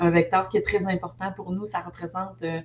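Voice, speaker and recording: Over noticeable background noise, a woman speaks. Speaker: investment network director. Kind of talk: presentation.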